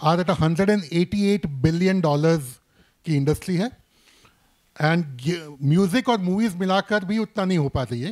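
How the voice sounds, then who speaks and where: In a Bombay accent, a man with a high pitch and ordinary pitch variation speaks at a moderate pace, in a dry, close sound with no echo. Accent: Bombay-style Hindi. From Mumbai, India. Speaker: gaming industry expert. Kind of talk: panel discussion. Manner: frequent Hindi-English code-switching.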